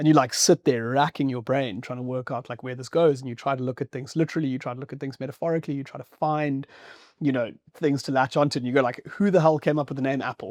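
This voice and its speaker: A man at a very fast pace, fairly even in intonation, with big swings in loudness, in a dry, close sound with no echo over a quiet background. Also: medium pitch for a man. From Zimbabwe. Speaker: podcast host. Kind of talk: casual interview chat. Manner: casual, many fillers.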